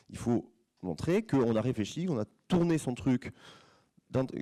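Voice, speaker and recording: Using a dark, mellow tone and lively intonation, a man speaks at a medium pitch with long, frequent pauses, in a dry, close sound with no echo. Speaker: opera stage director, former singer. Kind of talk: conference talk to students. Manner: fast; halting, many repetitions.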